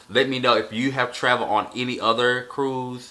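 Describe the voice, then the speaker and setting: An ordinary speaking voice from a man, medium in pitch and moderate in pace. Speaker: vlogger. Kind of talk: casual vlog recap. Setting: sit-down video. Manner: off-the-cuff, many fillers.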